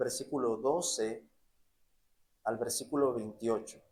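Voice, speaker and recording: The man's intonation is fairly even as he speaks. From Mexico (Sonora, Jalisco, Querétaro). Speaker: preacher. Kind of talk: sermon. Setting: church.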